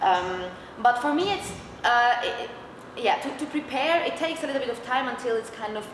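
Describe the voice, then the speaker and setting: A woman with a Swiss German accent speaks at a moderate pace and a high pitch, with lively intonation and long, frequent pauses. Audible room echo and noticeable background noise fill the recording. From Switzerland (German-speaking). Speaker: metal band vocalist. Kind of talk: interview. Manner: hesitant, many fillers.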